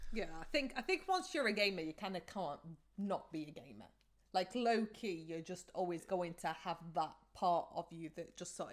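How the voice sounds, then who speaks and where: A woman with an unremarkable speaking voice talks at a medium pitch. Her pace is moderate and her pitch variation ordinary. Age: 30s. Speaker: podcast co-host. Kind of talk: casual chat.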